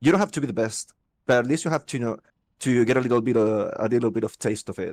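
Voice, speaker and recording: Very fast speech with a dry, close sound and no echo. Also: man. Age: 30s. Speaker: guild member, online gamer. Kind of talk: casual chat. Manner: halting.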